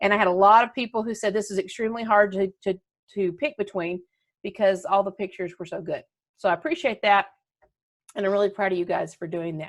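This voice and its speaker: A woman at a very fast pace, medium pitch, ordinary pitch variation, and a warm, upbeat tone. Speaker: schoolteacher making videos for students. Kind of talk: casual video address to students.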